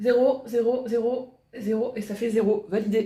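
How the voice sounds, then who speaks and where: Dark, mellow tone from a woman pitched fairly high. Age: 40s. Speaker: vlogger. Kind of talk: vlog monologue. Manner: casual, hesitant with fillers.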